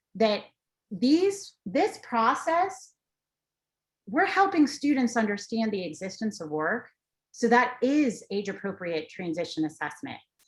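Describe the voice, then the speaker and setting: The voice is somewhat breathy, moving at a fairly slow pace with very wide pitch swings. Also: woman, fairly high pitch for a woman. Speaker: transition education presenter. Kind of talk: webinar presentation.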